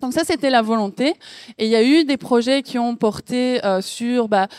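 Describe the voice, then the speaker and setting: A woman with an unremarkable speaking voice talks at a fairly high pitch with ordinary pitch variation, recorded very cleanly against a silent background with a dry, close sound and no echo. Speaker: panel moderator. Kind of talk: panel discussion. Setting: venue with live audience. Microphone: microphone held very close to mouth.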